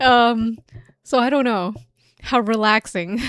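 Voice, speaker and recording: A woman with a fairly high pitch. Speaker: video game streamer. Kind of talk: casual live stream chat. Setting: live stream. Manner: loud.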